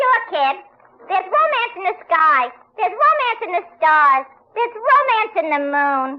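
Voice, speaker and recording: In a put-on character voice that sounds female, the speaker squeaks at an extremely high pitch with very wide pitch swings, keeping a moderate pace. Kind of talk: 1940s radio comedy acting. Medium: old radio play. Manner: breezy, slangy, mock-archaic mix.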